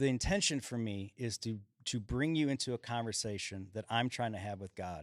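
A man with an American accent talks at a fairly quick pace in an ordinary speaking voice, medium in pitch with ordinary variation, on a very clean recording with a silent background. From Chicago, Illinois. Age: 40s. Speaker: singer-songwriter. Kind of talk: casual chat. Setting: stage.

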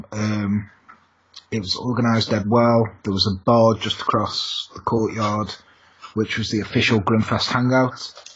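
In an English accent, a man speaks fairly slowly at a medium pitch, his intonation monotone and flat. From England. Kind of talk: casual chat.

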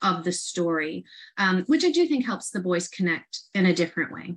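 A woman with an ordinary speaking voice talks at a medium pitch and a fairly quick pace. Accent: American. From upstate New York, Rochester. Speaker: art educator, artist in residence. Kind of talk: casual interview.

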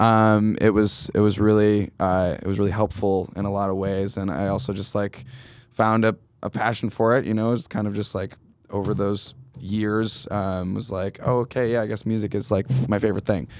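In a very clean recording with a silent background, a man with an American accent has an unremarkable speaking voice, fairly low in pitch with fairly even intonation. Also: moderate pace. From upstate New York, Finger Lakes. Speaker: guitarist. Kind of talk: casual chat. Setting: studio.

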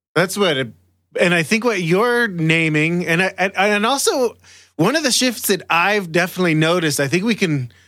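A man speaks with a high, bright, sharp tone and lively intonation at a moderate pace. His loudness is very even, and the recording is very clean with a silent background. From Israel, Jerusalem. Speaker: podcast co-host. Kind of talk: casual chat.

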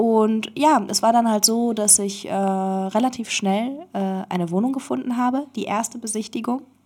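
The woman's pitch is fairly high and varies in an ordinary way. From Berlin, Germany. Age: 20s. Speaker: interview guest. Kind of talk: casual chat. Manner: halting.

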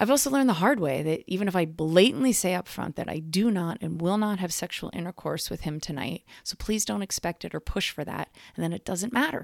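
In an unremarkable speaking voice, a woman talks at a fairly quick pace with hardly any pauses, fairly low pitch and lively intonation, the sound dry and close with no echo. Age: 40s. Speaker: sex educator. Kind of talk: audio diary narration.

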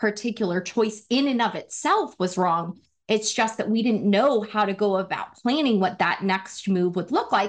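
With an American accent and an unremarkable speaking voice, a woman talks at a moderate pace and fairly high pitch with ordinary pitch variation against a quiet background. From Wyoming, US. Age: 30s. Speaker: former marketing executive and women's career advocate. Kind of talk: interview conversation.

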